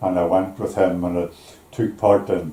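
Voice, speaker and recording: The speaker has a Belfast accent. The pace is moderate. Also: man. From Northern Ireland, East Belfast. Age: 80s+. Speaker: retired shipyard worker. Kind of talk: life story interview. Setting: at home over tea. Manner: halting.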